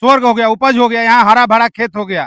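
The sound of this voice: A man speaks with extremely high pitch and a bright, sharp tone. The sound is dry and close with no echo.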